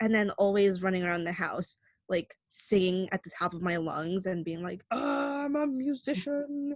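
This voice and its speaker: A woman speaks at a medium pitch with lively intonation, recorded with a dry, close sound and no echo. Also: moderate pace. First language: Spanish. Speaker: Spanish teacher co-host. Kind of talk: casual chat.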